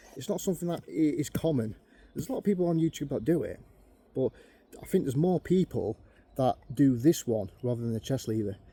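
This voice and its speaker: This man's fairly high voice has a dark, mellow tone, somewhat breathy and lively in intonation, with a dry, close sound and no echo. He speaks very fast but leaves long, frequent pauses. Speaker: bushcraft youtuber. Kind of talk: tutorial.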